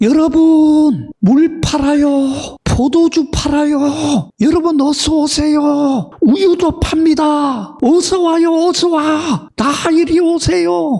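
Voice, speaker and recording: Speaking very slowly in a put-on character voice, a man pitches his voice extremely high. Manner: loud calling, drawing in customers.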